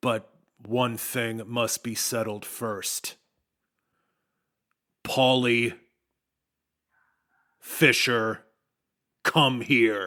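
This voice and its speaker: A man's put-on character voice at medium pitch, very slow pace, with long, frequent pauses. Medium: actual play. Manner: regal, cold, commanding.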